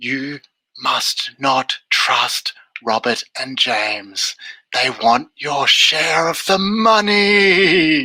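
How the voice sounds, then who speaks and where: A man drags out his words very slowly in a put-on character voice with a fairly high pitch. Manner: warning.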